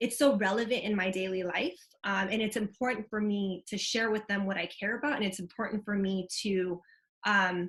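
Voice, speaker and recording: A moderate pace with fairly even intonation. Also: woman, medium pitch for a woman. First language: Vietnamese. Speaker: community organizer, panelist. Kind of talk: panel discussion. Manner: casual, conversational.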